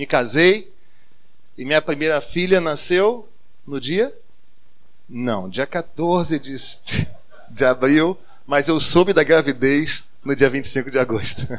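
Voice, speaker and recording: The delivery is very slow, with long, frequent pauses. The intonation stays lively throughout. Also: man, fairly high pitch for a man. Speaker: pastor. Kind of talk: sermon. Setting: church.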